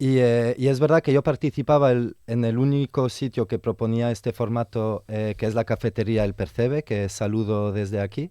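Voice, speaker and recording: In a dry, close recording with no echo, a man speaks in a dark, mellow tone with hardly any pauses. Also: medium pitch for a man, ordinary pitch variation, moderate pace, very clean recording, silent background. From Belgium. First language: French (speaking Spanish). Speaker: theatre educator and venue organiser. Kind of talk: radio interview.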